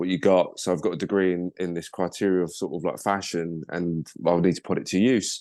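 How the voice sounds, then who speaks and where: Over a quiet background, a man with a very deep, low pitch speaks at a moderate pace with fairly even intonation in a southeast English accent. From Kent, southeast England. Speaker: model agent, podcast guest. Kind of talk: casual interview chat. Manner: casual, filler-heavy.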